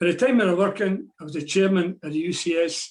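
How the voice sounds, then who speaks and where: This man has a Glaswegian accent and a high pitch. He speaks at a fairly quick pace. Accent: Glaswegian Scottish. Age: 80s+. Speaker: retired shipyard draftsman and trade unionist. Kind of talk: historical talk at online meeting.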